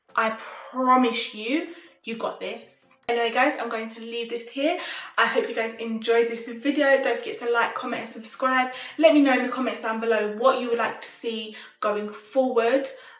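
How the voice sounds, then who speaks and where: With audible room echo and noticeable background noise, a woman speaks at a moderate pace in a high pitch, her animated tone marked by big swings in loudness. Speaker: lifestyle content creator. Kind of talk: motivational vlog talk. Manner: occasionally halting, word-finding difficulty.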